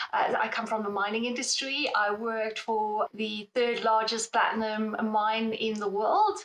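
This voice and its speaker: Speaking in a South African accent, a woman with fairly high pitch talks at a fairly slow pace with monotone, flat intonation and hardly any pauses. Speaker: metals market analyst. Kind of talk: interview.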